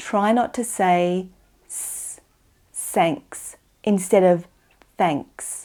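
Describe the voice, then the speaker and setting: Pitched in the medium range, a woman speaks in an Australian accent with a dark, mellow tone. The recording is very clean, with a silent background. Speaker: English teacher. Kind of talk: tutorial. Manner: slow, clear enunciation.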